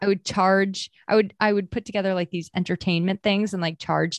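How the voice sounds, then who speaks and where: With an American accent, a plain, everyday voice moves at a fairly quick pace in a dry, close sound with no echo. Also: woman. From Maine and New Hampshire, US New England. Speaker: marketer and former store owner. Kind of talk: casual interview chat.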